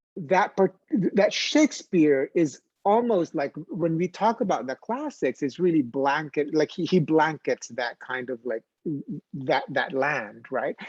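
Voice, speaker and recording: A man with a Filipino accent and a fairly high pitch speaks fairly slowly with lively intonation, in a dry, close sound with no echo. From Philippines. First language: Filipino language. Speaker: theater artist. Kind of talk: panel discussion. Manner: halting.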